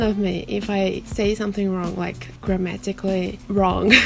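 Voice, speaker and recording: Speech in a Brazilian accent at a fairly slow pace, with noticeable background noise. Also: woman. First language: Portuguese. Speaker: booktuber. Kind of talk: casual vlog talk. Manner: halting, with fillers.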